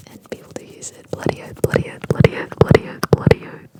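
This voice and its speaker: Noticeable background noise runs through the clip. Over it, the speaker whispers. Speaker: ASMR creator. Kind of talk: ASMR whisper tutorial. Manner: whispered, repetitive.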